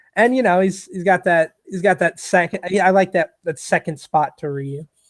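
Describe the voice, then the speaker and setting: This man speaks with a New York accent and a high pitch, at a moderate pace. His pitch varies in an ordinary way, and the sound is dry and close with no echo. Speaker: gamer, livestream interview guest. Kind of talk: casual interview chat. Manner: loud; excitable, hype.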